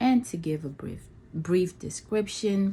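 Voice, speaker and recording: Her voice is somewhat breathy. The woman uses ordinary pitch variation. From Nigeria. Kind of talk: casual talk to camera.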